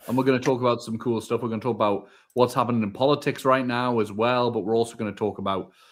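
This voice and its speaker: The speaker has a northeast England accent. The pace is very fast. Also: man. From northern England, Northumberland. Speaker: podcast co-host. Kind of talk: live podcast chat.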